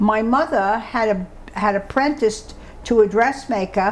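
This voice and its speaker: A woman with a New York accent, fairly high in pitch, her pitch varying in an ordinary way. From New York City (Brooklyn/Bronx). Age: 90s. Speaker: oral history interviewee. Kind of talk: oral history interview. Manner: halting.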